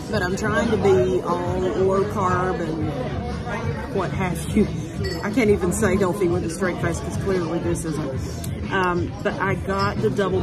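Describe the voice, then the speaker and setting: With music in the background, a woman talks at a fairly slow pace. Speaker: food vlogger. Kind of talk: casual vlog chat. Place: cafe. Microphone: phone near.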